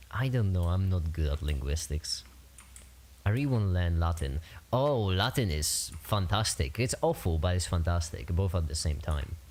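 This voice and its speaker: With a Polish accent, the words come at a middling speed. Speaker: streamer. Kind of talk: casual chat. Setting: livestream. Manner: halting.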